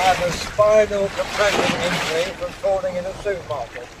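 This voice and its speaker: Someone with an Essex accent talks at a moderate pace over noticeable background noise. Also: man. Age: 80s+. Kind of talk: documentary monologue to camera. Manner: halting.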